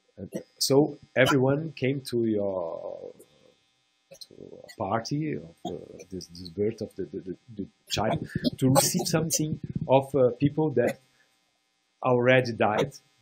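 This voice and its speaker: With a Portuguese accent, a man talks at a fairly slow pace in a medium pitch, his voice making very wide pitch swings while music plays in the background. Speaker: round table panelist. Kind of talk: panel discussion. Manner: halting, with many repetitions.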